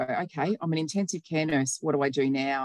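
Heard in a dry, close recording with no echo, a woman speaks with a very deep, low voice. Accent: Australian. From New South Wales, Australia. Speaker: nurse and health operations manager. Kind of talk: casual interview chat.

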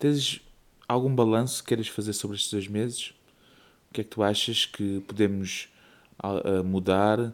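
In a European Portuguese accent, a man speaks at a fairly slow pace and fairly low pitch, with fairly even intonation and long, frequent pauses. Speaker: podcast co-host and father. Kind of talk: casual chat.

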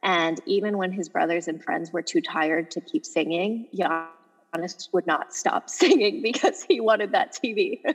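Over music in the background, a woman with an American accent speaks with very wide pitch swings. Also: medium pitch for a woman, moderate pace. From Los Angeles, US. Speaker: sports journalist and author. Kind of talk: interview.

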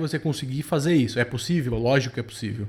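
This man's voice is somewhat breathy and fairly high-pitched, with ordinary pitch variation. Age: 40s. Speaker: productivity podcast host. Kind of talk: casual chat.

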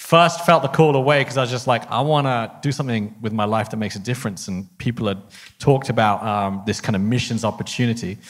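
The recording is very clean, with a silent background. A man with a southern English accent and a medium pitch speaks at a very fast pace with ordinary pitch variation. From England, Harpenden area. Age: 30s. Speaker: missionary. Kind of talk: casual interview. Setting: stage.

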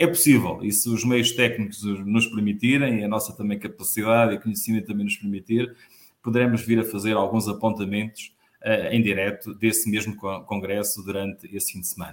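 The man's pitch sits fairly low, with fairly even intonation. He talks at a fairly quick pace, and his loudness swings a lot. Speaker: union host. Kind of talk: interview. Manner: hesitant, many fillers.

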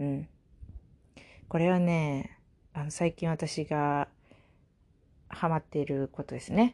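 A woman's very deep, low, dark and mellow voice at a very slow pace with long, frequent pauses, in a dry, close sound with no echo. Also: very clean recording, silent background. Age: 20s. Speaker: podcast host. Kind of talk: casual solo talk. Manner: casual with frequent fillers and laughs.

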